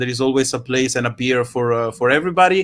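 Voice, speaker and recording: A man with a strong Italian accent speaks in a fairly high voice. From Italy. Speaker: online science event host. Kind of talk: casual live stream sign-off. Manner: hesitant, many fillers.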